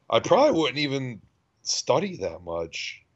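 A man is speaking. His pace is fairly slow. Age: 30s. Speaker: podcast co-host. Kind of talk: casual chat.

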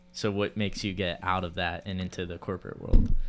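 The recording is very clean, with a silent background. A man with a plain, everyday voice speaks at a moderate pace and a fairly low pitch. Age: 20s. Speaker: podcast host. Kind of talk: casual interview chat.

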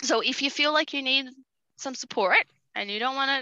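A woman's high, bright, sharp voice, raised and projected, at a fairly quick pace with very wide pitch swings, a quiet background and a dry, close sound with no echo. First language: Portuguese. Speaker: nonprofit justice program coordinator. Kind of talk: podcast interview. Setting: remote call while on holiday.

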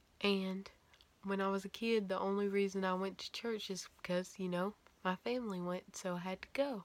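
This is an ordinary speaking voice, a woman's, at a medium pitch. She keeps a moderate pace and fairly even intonation. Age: 20s. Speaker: faith YouTuber and podcaster. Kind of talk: personal testimony monologue. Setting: home video recording with ring light.

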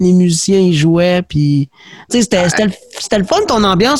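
Lively intonation and a high pitch mark this man's voice, delivered with a Quebec accent. His moderate pace is captured in a dry, close sound with no echo. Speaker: podcast host. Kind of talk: casual interview chat.

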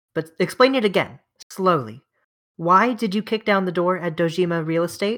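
In a natural reading voice with ordinary pitch variation, someone reads against a quiet background.

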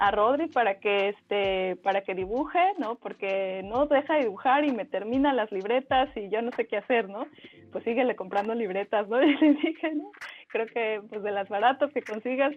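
A woman talks at a moderate pace with lively intonation. Her pitch sits fairly high. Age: 40s. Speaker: illustrator and artist. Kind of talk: casual interview chat. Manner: hesitant, many fillers and repetitions.

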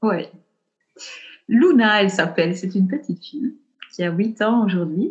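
A woman speaks with a Belgian accent, somewhat breathy, using lively intonation and long, frequent pauses. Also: medium pitch for a woman, moderate pace. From Belgium, Ardennes. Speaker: perinatal coach. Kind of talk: interview conversation. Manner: halting.

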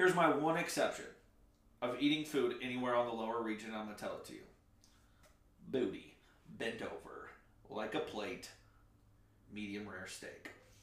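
Big swings in loudness and long, frequent pauses come from a man talking at a moderate pace in audible room echo. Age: 20s. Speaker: podcast co-host. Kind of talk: casual chat.

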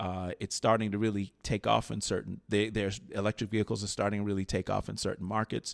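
Over a very clean recording with a silent background and a dry, close sound with no echo, a man with an American accent speaks at a very fast pace, fairly low in pitch with monotone, flat intonation. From US Midwest, Chicago. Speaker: automotive executive and author. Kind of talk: interview. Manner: hesitant, many fillers.

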